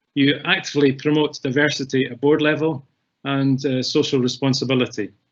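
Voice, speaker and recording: A man with a Scottish accent, fairly high-pitched, at a fairly quick pace and in a monotone, flat intonation. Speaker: webinar host. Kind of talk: webinar moderation.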